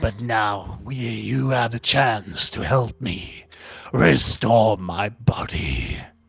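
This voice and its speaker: In a put-on character voice, a man talks very slowly, raspy and fairly low in pitch. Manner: eerie, ominous.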